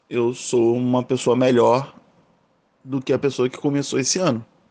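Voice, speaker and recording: A man is speaking. His pitch is medium. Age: 30s. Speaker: podcast host. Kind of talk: casual monologue. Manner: casual.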